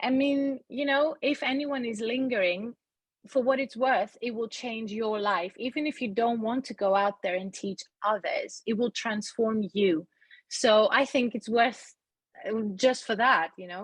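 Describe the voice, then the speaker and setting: Against a quiet background, a plain, everyday voice speaks at a fairly slow pace with ordinary pitch variation. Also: woman, fairly high pitch for a woman. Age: 40s. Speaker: yoga teacher training graduate. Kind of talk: podcast interview.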